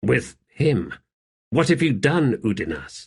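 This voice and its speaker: Growling in a put-on character voice, a man at a medium pitch talks at a fairly slow pace with very wide pitch swings. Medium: read story. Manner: grave, measured.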